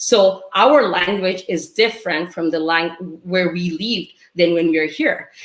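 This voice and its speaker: Over noticeable background noise, a fairly low-pitched woman speaks at a fairly slow pace with hardly any pauses and ordinary pitch variation. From Bangladesh. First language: Bengali. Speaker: university teacher and community advocate. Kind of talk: webinar speech.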